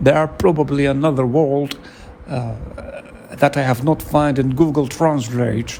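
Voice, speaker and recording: A man speaks at a fairly slow pace with a non-native accent. Noticeable background noise runs under his voice. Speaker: podcaster. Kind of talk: solo podcast monologue. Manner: halting, searching for words.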